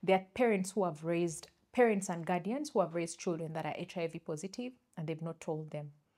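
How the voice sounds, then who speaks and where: With a Ugandan accent, a woman speaks at a fairly quick pace and a fairly low pitch, her tone dark and mellow, with ordinary pitch variation. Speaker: podcast co-host. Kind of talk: casual chat. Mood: animated, storytelling. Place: studio. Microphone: lapel.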